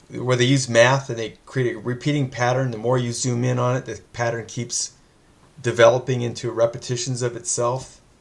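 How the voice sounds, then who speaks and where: The intonation stays flat and monotone. The voice is somewhat breathy. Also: man, medium pitch for a man, moderate pace. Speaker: interview host. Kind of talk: interview. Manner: stammering, halting.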